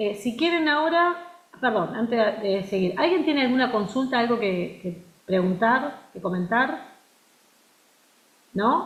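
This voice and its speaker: A woman's fairly high voice with very wide pitch swings, a fairly slow pace and long, frequent pauses, plus audible room echo and noticeable background noise. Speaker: university lecturer. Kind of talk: lecture. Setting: video call.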